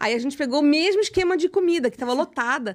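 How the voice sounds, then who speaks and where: Speaking very fast in a Rio de Janeiro accent, the voice has an animated tone and lively intonation. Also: woman. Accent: carioca accent, kept. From Rio de Janeiro, Brazil. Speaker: psychoanalyst, writer and speaker. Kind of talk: casual interview chat.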